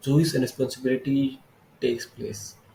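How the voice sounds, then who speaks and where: A man speaks with an Indian accent and ordinary pitch variation. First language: Hindi. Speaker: vlogger. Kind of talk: casual monologue book summary. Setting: filming alone on camera. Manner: halting.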